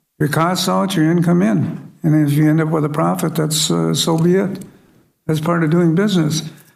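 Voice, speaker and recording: A man's fairly high voice at a fairly quick pace, with audible room echo. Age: 70s. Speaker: city council member. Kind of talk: council meeting debate. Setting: city council chambers. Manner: blunt, plain-spoken; halting with fillers.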